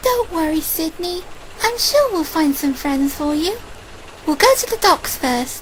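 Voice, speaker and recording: Against clear background noise, a female-sounding voice does a put-on character voice at an extremely high pitch and a moderate pace. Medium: audio drama. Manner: warm, caring.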